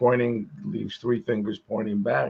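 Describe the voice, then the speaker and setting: Vocal fry runs through this man's medium-pitched voice. He speaks at a moderate pace. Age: 70s. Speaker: podcast co-host. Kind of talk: casual chat.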